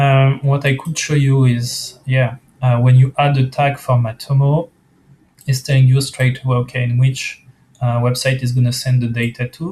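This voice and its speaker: The speaker's voice is somewhat breathy, flat and monotone, delivered at a moderate pace. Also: man, medium pitch for a man. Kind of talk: software screencast walkthrough. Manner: casual, hesitant, many fillers.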